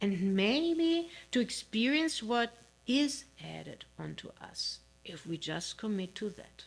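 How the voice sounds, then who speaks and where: Speaking with a non-native accent at a very slow pace, the somewhat breathy voice swings very widely in pitch and shows big swings in loudness. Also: woman, fairly high pitch for a woman. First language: not English. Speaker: minister. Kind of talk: sermon. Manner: halting, with fillers.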